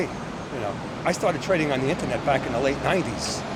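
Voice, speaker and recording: A man with a New York accent talks with lively intonation amid audible room echo and noticeable background noise. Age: 70s. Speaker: retired stock trader. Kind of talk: street interview. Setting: outdoors on a street.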